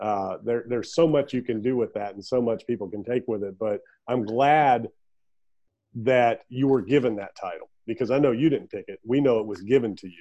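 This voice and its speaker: A plain, everyday voice speaks at a moderate pace with ordinary pitch variation against a quiet background. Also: man, medium pitch for a man. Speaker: podcast host. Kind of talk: interview, friendly conversation. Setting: remote call.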